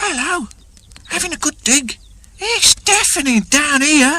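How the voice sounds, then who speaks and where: At a fairly slow pace, a woman puts on a character voice pitched high. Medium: read story. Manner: cheerful, breezy.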